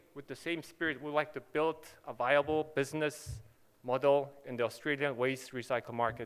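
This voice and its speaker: A man speaks with a Korean accent. His pace is fairly quick. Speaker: company manager presenting at a conference. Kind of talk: conference presentation and Q&A. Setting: conference stage with audience.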